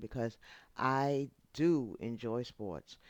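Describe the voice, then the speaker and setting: A woman with a New York accent speaks in an animated tone at a very deep, low pitch on a very clean recording with a silent background. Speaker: YouTube channel host. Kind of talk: casual vlog monologue.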